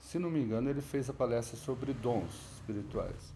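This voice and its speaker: Here a man speaks at a moderate pace and medium pitch. His tone is dark and mellow. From Brazil, São Paulo state (Lorena, Ubatuba). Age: 60s. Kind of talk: testimony. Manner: conversational, with self-corrections.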